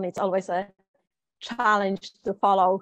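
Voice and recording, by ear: A woman speaks with a Polish accent at a medium pitch. Her pitch moves little, and the sound is dry and close with no echo.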